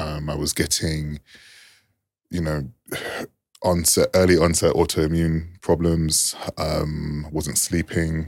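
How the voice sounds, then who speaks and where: A man talks at a very slow pace in a very deep, low pitch. His intonation stays monotone and flat. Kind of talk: round-table discussion.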